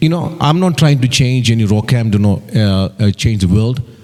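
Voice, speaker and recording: A man with an Indian accent and lively intonation, over noticeable background noise. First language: not English, Indian language. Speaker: election candidate. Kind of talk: campaign speech. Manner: halting.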